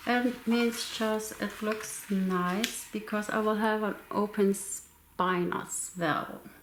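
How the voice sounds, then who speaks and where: Fairly high in pitch, a woman speaks with fairly even intonation through noticeable background noise. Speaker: crafting YouTuber. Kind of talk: tutorial. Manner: soft-spoken, quiet.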